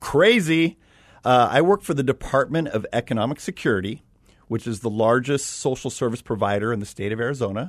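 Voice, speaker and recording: With a plain, everyday voice, a man at medium pitch talks at a fairly quick pace with lively intonation over a quiet background. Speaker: radio show guest; government faith community liaison.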